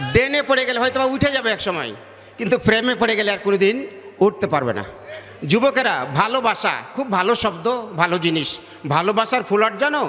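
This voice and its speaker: Against noticeable background noise, a man with a high pitch uses a raised, projected voice and lively intonation. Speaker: Islamic preacher. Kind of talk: religious sermon to a gathering. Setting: outdoor public gathering, PA system.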